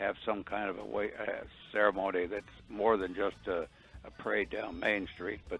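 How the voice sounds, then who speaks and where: With music in the background, a man speaks in an American accent at a moderate pace. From Texas, lower Rio Grande Valley. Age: 90s. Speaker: war veteran. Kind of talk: interview. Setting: phone call.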